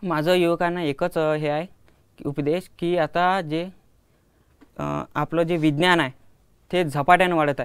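Against a quiet background, a man speaks at a fairly high pitch with monotone, flat intonation. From Ashti, Vidarbha, Maharashtra; Maharashtra. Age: 20s. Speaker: student inventor; guest. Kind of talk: interview. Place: studio. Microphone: lapel.

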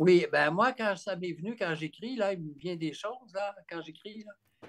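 In a Quebec accent, a man with a high pitch speaks at a fairly slow pace against a quiet background. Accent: Québécois French. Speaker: author and therapist; guest. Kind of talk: interview about his book. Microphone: video call.

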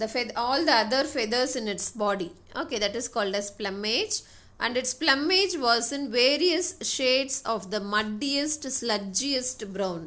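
Speaking fairly slowly in a Tamil accent, a woman uses a high pitch and lively intonation. Her tone is bright and sharp, and the recording is very clean with a silent background. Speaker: English teacher. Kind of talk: lecture.

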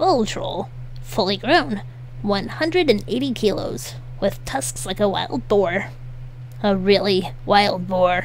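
A gravelly, high-pitched put-on character voice from a man at a very slow pace, over clear background noise.

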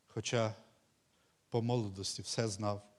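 With fairly even intonation, a man talks in a fairly low register. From Ukraine, Volyn region. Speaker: pastor. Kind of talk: sermon. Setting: church.

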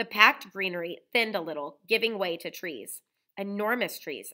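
Quiet surroundings and a natural reading voice, its pitch varying in an ordinary way

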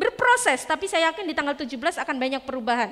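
Bright and sharp in tone, a woman speaks at a high pitch with lively intonation and an animated tone. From East Java, Indonesia. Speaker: teacher, public speaking trainer. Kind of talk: interactive workshop talk. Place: classroom.

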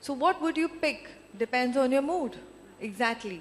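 A high-pitched woman's voice with lively intonation and an Indian accent. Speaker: film producer. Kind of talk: onstage interview. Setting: stage with audience.

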